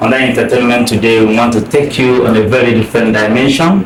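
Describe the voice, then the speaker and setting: A man speaks at a medium pitch with fairly even intonation, and there is noticeable background noise. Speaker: talk show host. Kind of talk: interview host.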